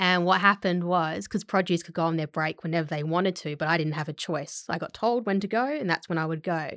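The recording is very clean with a silent background, and a woman with a fairly low pitch talks at a very fast pace. She has hardly any pauses and ordinary pitch variation. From Australia, various states (army family). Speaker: actress. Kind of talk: casual chat. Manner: clear, articulates every syllable.

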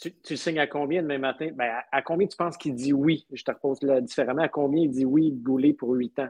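A man with an ordinary speaking voice talks at a fairly quick pace in a fairly high pitch with fairly even intonation. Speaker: podcast co-host. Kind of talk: casual chat.

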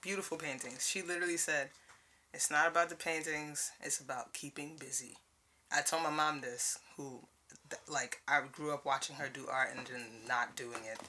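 Moderate pace, with a Brooklyn accent. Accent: New York (Brooklyn). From US Northeast, Brooklyn, New York. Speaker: podcast guest, artist. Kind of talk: casual chat. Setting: studio.

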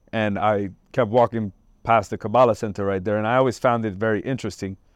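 A man with an American accent and a plain, everyday voice, fairly low in pitch, with fairly even intonation, a fairly quick pace and a quiet background. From New Jersey, Trenton. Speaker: army veteran and fitness trainer. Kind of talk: interview. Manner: casual, with many fillers.

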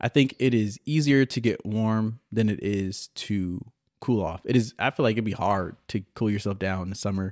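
A man's fairly low voice, an ordinary speaking voice with fairly even intonation, dry, close sound with no echo, and a very clean recording with a silent background. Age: 20s. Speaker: podcast host. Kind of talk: casual solo monologue.

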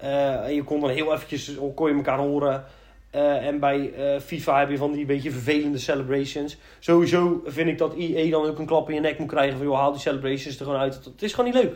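Fairly high in pitch, a man's voice keeps its intonation fairly level. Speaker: gaming podcast co-host. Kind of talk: casual chat.

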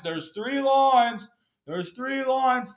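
A man's put-on character voice, fairly slow and lively in intonation, on a very clean recording with a silent background. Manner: condescending, repetitive.

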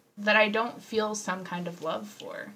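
A woman with an American accent at a medium pitch and a moderate pace, over noticeable background noise. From Houston, Texas. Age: 20s. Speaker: podcast co-host. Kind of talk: casual chat.

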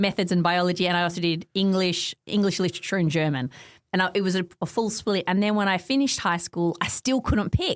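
A woman talks at a very fast pace with an Australian accent. Her pitch sits in the medium range. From Australia, Melbourne eastern suburbs. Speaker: academic and author. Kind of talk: casual interview.

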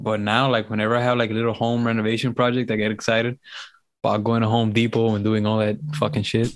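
In a very clean recording with a silent background, a man talks at a very fast pace with a Miami accent, monotone, flat intonation and very even loudness. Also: medium pitch for a man. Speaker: podcast co-host. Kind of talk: casual chat.

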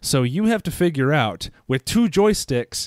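Over a very clean recording with a silent background, a man speaks fairly slowly with very wide pitch swings. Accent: American. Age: 30s. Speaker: video game podcast co-host. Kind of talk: casual chat.

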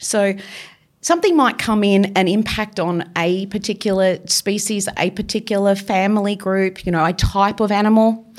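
Woman at medium pitch in an Australian accent, moderate pace, fairly even intonation. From Victoria, Australia. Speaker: marine biologist. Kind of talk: interview. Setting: studio.

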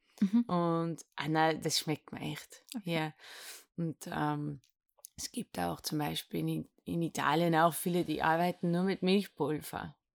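On a very clean recording with a silent background and a dry, close sound with no echo, a woman speaks at a very slow pace. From Netherlands. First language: Dutch (speaking German). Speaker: café owner. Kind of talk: interview. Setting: ice cream lab. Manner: halting.

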